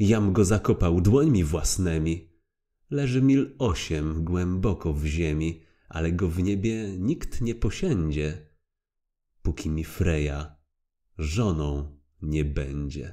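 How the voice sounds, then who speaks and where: A man with a very deep, low voice and a dark, mellow tone speaks very slowly in a dramatic tone, his intonation lively. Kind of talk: poem narration; audiobook reading aloud. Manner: rhythmic, measured, dramatic; formal, solemn storytelling.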